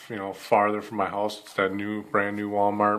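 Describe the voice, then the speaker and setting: A man speaks with a Wisconsin accent. His pitch is fairly low. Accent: Upper Midwest (Wisconsin) American. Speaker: YouTuber, ammo hunting vlogger. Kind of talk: casual vlog storytelling. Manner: casual, many fillers.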